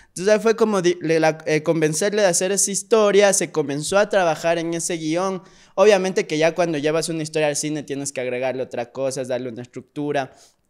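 Very fast speech with hardly any pauses comes from a man with a high pitch. His pitch varies in an ordinary way, and the background is quiet. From Ecuador, Pasaje (El Oro coast); Ecuador. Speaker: actor and screenwriter; actor. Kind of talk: casual interview chat. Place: studio. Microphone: studio mic.

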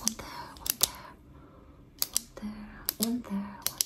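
A woman talks amid loud background noise. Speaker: ASMR creator. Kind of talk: soft ASMR roleplay talk. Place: home room. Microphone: studio mic.

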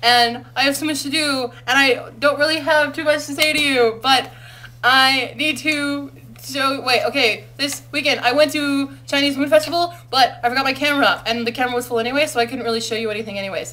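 A woman's raised, projected voice, high in pitch, with fairly even intonation and a fairly quick pace. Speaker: university student. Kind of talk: casual vlog talk to camera. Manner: fast. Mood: playful, amused. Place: home room. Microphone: webcam.

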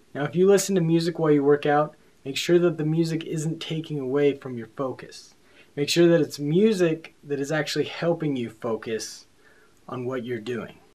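At a moderate pace, a man speaks with a dark, mellow tone and ordinary pitch variation. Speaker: fitness vlogger. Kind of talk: tutorial.

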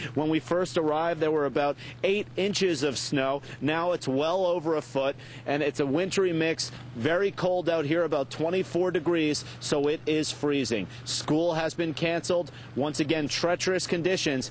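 Speaking at a moderate pace with very even loudness and ordinary pitch variation, a man is heard in a dry, echo-free recording with light background noise. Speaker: TV field reporter. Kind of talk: live news report. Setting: outdoors in snowstorm. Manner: formal. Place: street. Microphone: lapel.

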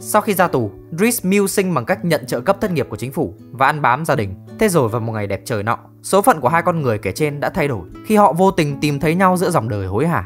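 Music plays in the background as the speech races along at a very fast pace. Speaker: narrator. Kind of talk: comedic movie recap narration.

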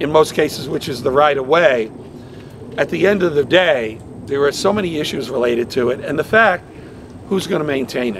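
With lively intonation and a fairly quick pace, a man speaks in a dry sound with no echo, though background noise is noticeable. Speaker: politician at press conference. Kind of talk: public address. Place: street. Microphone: podium.

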